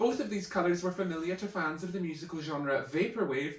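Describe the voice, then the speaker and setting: There is noticeable background noise behind this man. He speaks at a high pitch and fairly quick pace with lively intonation. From Orkney, Scotland. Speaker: poet. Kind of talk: poetry reading.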